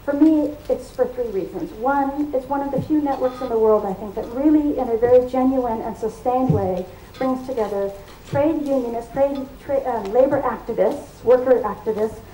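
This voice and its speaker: A woman's high voice with an American accent, noticeable background noise and audible room echo. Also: ordinary pitch variation, moderate pace. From United States. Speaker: academic, labor network representative. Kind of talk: conference welcome speech.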